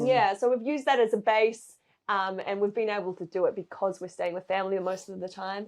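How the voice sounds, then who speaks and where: In a New Zealand accent, a woman speaks at a medium pitch and a fairly quick pace. Her intonation is fairly even, and the background is quiet. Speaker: saxophonist and saxophone teacher. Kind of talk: casual interview chat.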